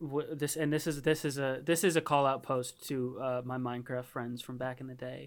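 On a very clean recording with a silent background, a man of medium pitch talks at a moderate pace with hardly any pauses. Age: 20s. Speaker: podcast host. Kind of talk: casual chat. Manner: animated.

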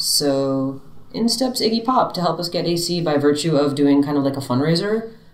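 Pitch swings very widely, at a moderate pace, with an American accent. Noticeable background noise sits behind it. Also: woman, fairly low pitch for a woman. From Miami, Florida. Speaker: drummer in a rock band. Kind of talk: casual interview chat.

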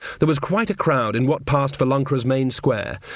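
With intonation that varies only a little, someone reads aloud in a natural voice.

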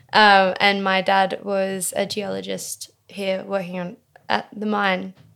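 With an Australian accent, a woman speaks at a very slow pace. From Tasmania, Australia (early years in Western Australia). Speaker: multidisciplinary artist and poet. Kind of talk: casual interview.

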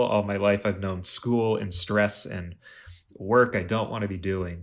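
In a very clean recording with a silent background, a man with an ordinary speaking voice talks at a fairly low pitch and a fairly slow pace, with fairly even intonation. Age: 20s. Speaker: college dropout, coffee shop worker. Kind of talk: casual chat.

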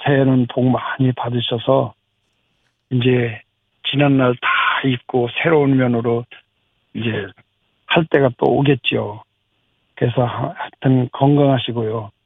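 Speaking at a very slow pace, a man leaves long, frequent pauses. His medium pitch follows fairly even intonation. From South Korea, Anseong (Gyeonggi). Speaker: farmer. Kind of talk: radio interview; new year greeting to listeners.

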